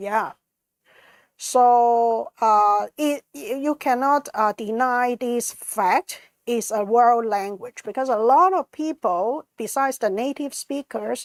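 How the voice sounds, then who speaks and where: In a Cantonese accent, a woman speaks at a very slow pace in a high pitch with ordinary pitch variation. The recording is very clean with a silent background, and the sound is dry and close with no echo. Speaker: conference organizer. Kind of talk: presentation with slides. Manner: halting, many fillers.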